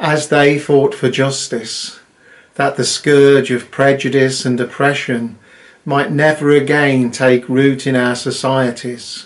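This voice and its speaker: The speaker has a British accent and a very slow pace. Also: man. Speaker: Methodist minister. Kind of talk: solemn intercessory prayer, read from a text. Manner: measured, reverent cadence with repeated 'Let us pray' petitions; earnest, heartfelt and formal. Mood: solemn, reverent. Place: home room. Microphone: webcam.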